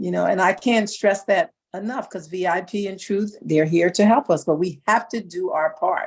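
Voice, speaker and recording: An ordinary speaking voice moves at a moderate pace with ordinary pitch variation. There are hardly any pauses. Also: woman, medium pitch for a woman. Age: 60s. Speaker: model and actor talent. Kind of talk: motivational talk.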